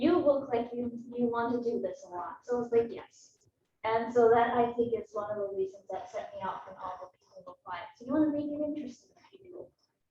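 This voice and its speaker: Sounding lively in her intonation, a woman speaks at a fairly high pitch and fairly quick pace in a dark, mellow tone, with big swings in loudness. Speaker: meteorology student. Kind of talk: student presentation. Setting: classroom with Zoom stream. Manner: soft-spoken.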